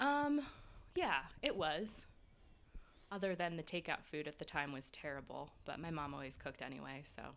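A woman with an American accent and a very deep, low pitch, moderate pace, ordinary pitch variation, and long, frequent pauses. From New York, outside the city. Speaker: speech pathologist turned real estate agent. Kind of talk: casual interview chat.

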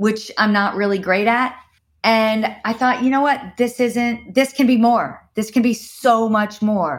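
A somewhat breathy woman with a fairly high pitch speaks in an animated tone at a fairly slow pace, her loudness very even, in a very clean recording with a silent background. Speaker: circus founder and performer. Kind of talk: casual interview conversation. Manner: excitable, animated.

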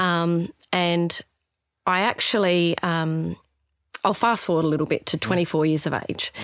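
At a fairly slow pace, a woman with an Australian accent speaks in a fairly low pitch with fairly even intonation on a very clean recording with a silent background. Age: 30s. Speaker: palliative care nurse. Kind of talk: interview conversation.

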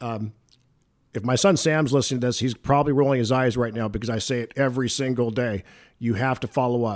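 On a very clean recording with a silent background, a man with an American accent talks at a very fast pace and medium pitch. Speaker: insurance broker, business owner. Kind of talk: casual interview. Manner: animated.

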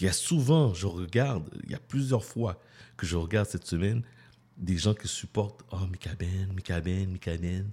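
A man speaks at a fairly slow pace in a very deep, low voice that is somewhat breathy with a dark, mellow tone. The recording is very clean, with a silent background. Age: 40s. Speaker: radio host. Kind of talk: casual radio talk.

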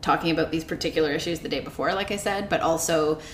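Someone with a Canadian accent speaks with ordinary pitch variation over noticeable background noise. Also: woman. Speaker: law professor, podcast co-host. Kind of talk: casual legal discussion.

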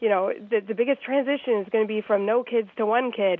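A woman's normal speaking voice, fairly high-pitched, with ordinary pitch variation. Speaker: website founder. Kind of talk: interview. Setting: phone call.

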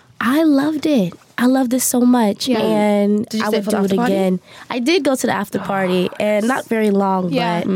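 A fairly high-pitched woman's voice at a moderate pace, with ordinary pitch variation and very even loudness, amid noticeable background noise. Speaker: podcast guest.

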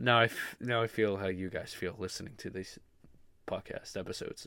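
A man talks at a moderate pace with a fairly low pitch. The recording is very clean, the background silent. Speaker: podcast host. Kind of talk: casual solo podcast monologue. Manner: informal, filler-heavy, animated.

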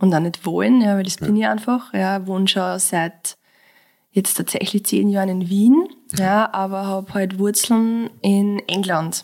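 Heard on a very clean recording with a silent background, a woman with a medium pitch speaks at a fairly slow pace with fairly even intonation. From Austria, Mostviertel (Lower Austria). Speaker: clinical psychologist and breathwork teacher. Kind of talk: casual interview conversation.

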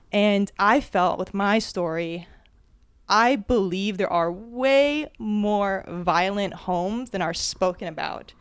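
Speaking with an American accent, a woman has an unremarkable speaking voice at a medium pitch with ordinary pitch variation. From New Jersey. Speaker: public speaking teacher. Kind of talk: live storytelling to small audience. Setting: live event in an apartment with audience, handheld mic.

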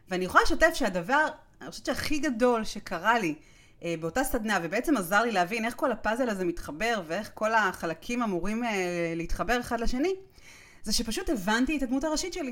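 Her pitch swings very widely as this woman talks fairly quickly. Her voice sits fairly high. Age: 40s. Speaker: podcast host and author. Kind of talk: solo podcast monologue.

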